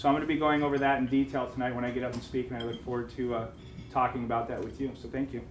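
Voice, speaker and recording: A man with fairly even intonation, audible room echo, and noticeable background noise. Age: 30s. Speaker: fund manager. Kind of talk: business seminar presentation.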